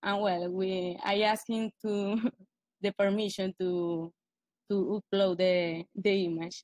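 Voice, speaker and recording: A woman with a Spanish accent speaks at a very slow pace in a medium pitch, her intonation monotone and flat. The sound is dry and close, with no echo. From Venezuela. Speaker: blogger presenting a post. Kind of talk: casual presentation. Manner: halting.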